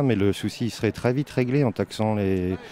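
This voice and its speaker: Against noticeable background noise, a man talks at a fairly low pitch and a moderate pace. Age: 40s. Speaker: graphic designer, protester. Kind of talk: street interview.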